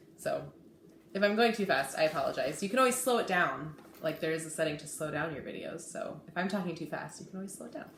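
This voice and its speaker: The speaker talks at a very fast pace with lively intonation. Noticeable background noise and audible room echo fill the recording. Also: woman, fairly low pitch for a woman, big swings in loudness. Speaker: cross-stitch video blogger. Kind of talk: casual hobby vlog. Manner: hesitant, many fillers.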